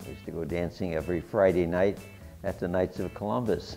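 A man with an American accent speaks at a fairly quick pace in a very deep, low pitch. His pitch varies in an ordinary way, with music playing in the background. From Worcester, Massachusetts. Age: 80s+. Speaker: war veteran; company CEO. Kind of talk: interview answer. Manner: hesitant, chatty.

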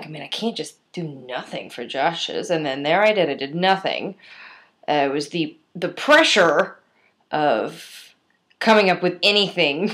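A woman talks at a fairly slow pace and fairly low pitch, with ordinary pitch variation. Her loudness swings widely, she takes long, frequent pauses, and the background is quiet. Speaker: video diarist. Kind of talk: casual talk to camera. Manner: rambling, self-deprecating. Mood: wry, self-mocking. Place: home room. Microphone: webcam.

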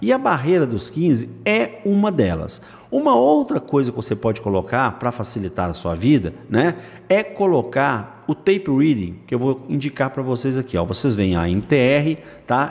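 A man of medium pitch with vocal fry talks at a moderate pace, swinging very widely in pitch. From Brazil. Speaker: day trading educator on a video channel; day trading educator. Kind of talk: screen-share tutorial. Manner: casual, lots of filler words. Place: home room.

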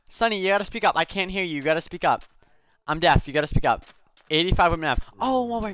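The speech runs at a very fast pace with ordinary pitch variation and a dry sound with no echo. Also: man. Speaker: streamer. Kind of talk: casual storytelling while gaming. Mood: amused, laughing. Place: home room.

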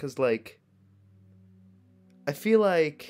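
Music plays behind a man speaking at a very slow pace. His intonation is lively. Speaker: gaming streamer. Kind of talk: livestream gameplay commentary. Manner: casual, animated.

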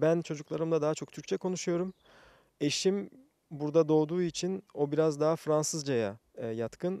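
Against a quiet background, a man speaks with a fairly high pitch and a dark, mellow tone, the sound dry with no echo. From France. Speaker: community association president. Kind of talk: street interview; interview answer. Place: garden. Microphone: handheld.

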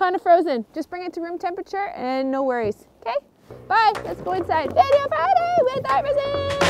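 A woman's extremely high pitch with very wide swings, big jumps in loudness and a moderate pace, over noticeable background noise. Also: dry, close sound with no echo. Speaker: video host. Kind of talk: casual tutorial. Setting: outdoors in snow.

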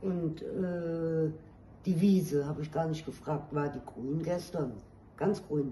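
A woman speaks slowly in a low pitch, with a dark, mellow tone and ordinary pitch variation. Room echo is audible.

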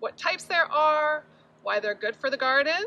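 A woman talks in a raised, projected voice at a moderate pace. Her pitch swings very widely. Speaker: garden educator. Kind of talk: children's lesson and read-aloud. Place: garden. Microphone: phone near.

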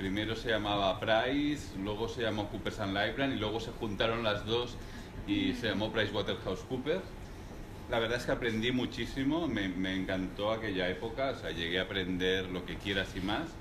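At a moderate pace, a man talks at a fairly low pitch with ordinary pitch variation over noticeable background noise. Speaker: serial entrepreneur; guest. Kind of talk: live talk interview before audience. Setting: room with live audience, no microphone. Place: meeting room. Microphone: speaking without microphone; camera far.

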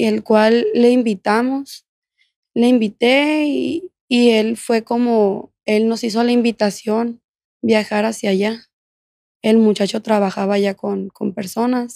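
In a dark, mellow tone, a woman speaks very slowly at a fairly high pitch. Her intonation is fairly even, and the sound is dry with no echo over a quiet background. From Mexico, Culiacán, Sinaloa; Sinaloa, Mexico. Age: 20s. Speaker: former prisoner telling her life story; podcast guest. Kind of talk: testimony. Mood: serious, reflective personal story. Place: studio. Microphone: studio mic.

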